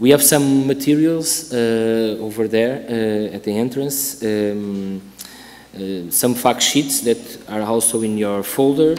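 A man speaks at a very slow pace. His pitch shows ordinary variation. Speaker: regional project coordinator. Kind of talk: welcome speech. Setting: stage with audience. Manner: halting. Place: hall. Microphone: podium.

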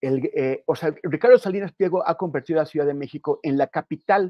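A man at a moderate pace, with ordinary pitch variation, a dry sound with no echo and a quiet background. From northern Mexico. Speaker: journalist. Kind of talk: panel discussion. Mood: critical, firm. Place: home room. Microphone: earbuds.

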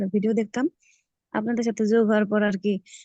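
Her dark, mellow tone carries fairly even intonation as a woman speaks in a dry, close sound with no echo. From Bangladesh, Faridpur. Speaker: homemaker and freelancing student. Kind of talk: interview testimony.

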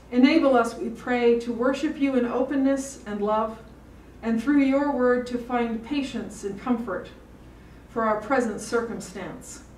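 Over light background noise and audible room echo, a woman speaks at a high pitch and fairly slow pace with fairly even intonation. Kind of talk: prayer. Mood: solemn, calm. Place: hall. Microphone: podium.

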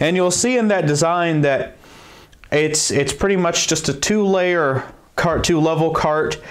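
The man's pace is fairly slow. Behind him, the background stays quiet. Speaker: DIY tool channel host. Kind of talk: tutorial intro, casual explanation. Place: workshop.

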